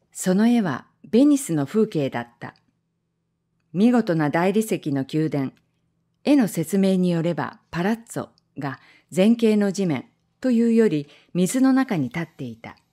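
A woman's dark, mellow tone at a medium pitch, fairly slow with long, frequent pauses, very wide pitch swings and big swings in loudness, on a very clean recording with a silent background. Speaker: amateur reading class member. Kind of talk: reading aloud of a translated short story.

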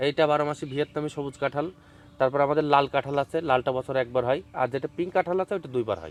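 A man's plain, everyday voice, fairly high in pitch, with ordinary pitch variation and a dry, close sound free of echo. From Bangladesh, Chuadanga district. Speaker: farmer. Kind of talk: interview. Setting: outdoors.

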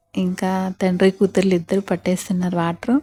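A woman speaks at a medium pitch, recorded with a dry, close sound and no echo. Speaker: homemaker vlogger. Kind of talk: vlog voiceover narration.

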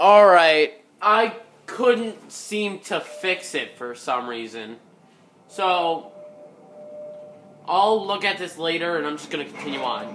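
Very slow speech broken by long, frequent pauses, with music in the background. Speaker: gamer. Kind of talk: gameplay commentary. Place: home room. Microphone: phone near.

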